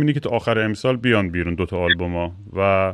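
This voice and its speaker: A very fast pace marks this clip. The voice belongs to a man. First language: English stronger than Persian (speaking Persian). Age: 40s. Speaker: podcast host and musician. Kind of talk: casual chat.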